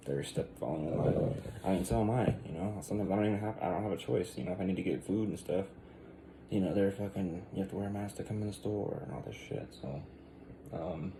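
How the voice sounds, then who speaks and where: The man talks quietly at a very fast pace. His pitch is fairly low, with ordinary variation. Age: 30s. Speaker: vlogger. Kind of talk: casual rant to camera. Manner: hesitant, many fillers.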